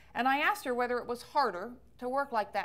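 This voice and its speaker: A woman speaks at a fairly quick pace in an ordinary speaking voice, with ordinary pitch variation. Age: 60s. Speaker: author and speaker on ageism. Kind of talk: public talk.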